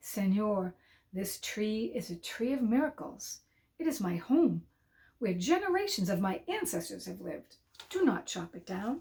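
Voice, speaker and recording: Using a put-on character voice, a woman at medium pitch speaks at a moderate pace with hissing, big swings in loudness, and very wide pitch swings. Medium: read story. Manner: hissing, close and low.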